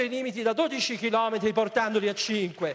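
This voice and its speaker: A man talks in a high-pitched voice with an animated tone. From Italy. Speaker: politician. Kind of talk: political debate. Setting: stage with audience. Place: stage. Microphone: handheld.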